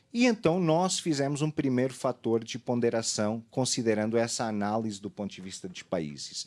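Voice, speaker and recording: Speaking at a moderate pace with hardly any pauses, a medium-pitched man with a Portuguese accent uses lively intonation and big swings in loudness. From Portugal. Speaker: fraud study consultant on a seminar panel. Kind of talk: panel presentation. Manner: halting, many fillers.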